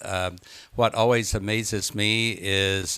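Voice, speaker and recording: On a very clean recording with a silent background, a man speaks in a fairly low, monotone, flat voice. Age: 70s. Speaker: retired trial lawyer and author. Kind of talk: talk to a local meeting. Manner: many fillers, halting.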